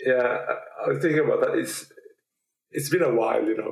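A man is speaking. He has a Norwegian accent. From Norway. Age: 40s. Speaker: Parkinson's advocate and retired teacher. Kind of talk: casual interview. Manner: halting, with many repeats.

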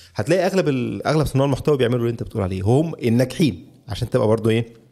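Over a silent background in a very clean recording, a man with an Egyptian accent talks very fast with lively intonation and a dark, mellow tone at medium pitch. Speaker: podcaster. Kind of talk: interview.

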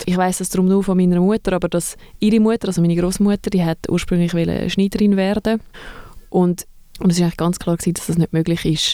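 A woman at a very fast pace, medium in pitch, with a dark, mellow tone and monotone, flat intonation. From Zurich, Switzerland. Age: 30s. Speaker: museum co-director. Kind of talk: casual interview.

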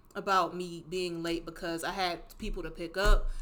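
A woman speaks with an American accent. Her tone is bright and sharp, her pace moderate. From Cleveland, Ohio. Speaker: fashion designer. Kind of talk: casual interview chat.

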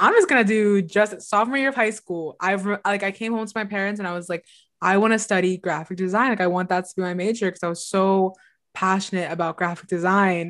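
In a very clean recording with a silent background, a woman with a normal speaking voice talks fairly quickly at a medium pitch, her intonation fairly even but with big swings in loudness. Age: 20s. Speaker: podcast co-host. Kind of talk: casual chat. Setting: livestream recording.

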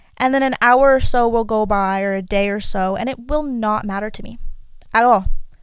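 Audible room echo accompanies speech at a fairly quick pace with ordinary pitch variation. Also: woman, fairly high pitch for a woman. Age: 20s. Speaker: podcast host. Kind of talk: personal monologue.

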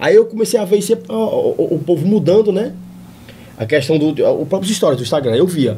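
With lively intonation, a man speaks very fast in a high voice. Background noise is noticeable. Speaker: comedian. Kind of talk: casual chat.

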